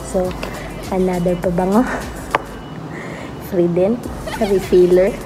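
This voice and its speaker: Speaking quietly at a very slow pace, a woman keeps a medium pitch and a monotone, flat intonation, with audible room echo and noticeable background noise. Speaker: vlogger. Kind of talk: casual vlog talk. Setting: hospital on duty, at night. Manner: quiet, subdued speaking.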